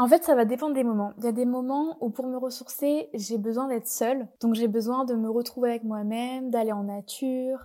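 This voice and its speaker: Her tone is dark and mellow, a woman with a high pitch speaking at a moderate pace with fairly even intonation. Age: 20s. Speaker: yoga teacher and astrologer. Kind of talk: casual chat.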